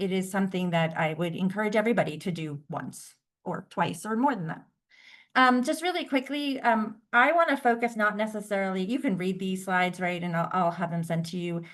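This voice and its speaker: Against a quiet background, a woman with a normal speaking voice talks fairly quickly at a medium pitch with lively intonation. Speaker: workshop presenter. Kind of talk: presentation.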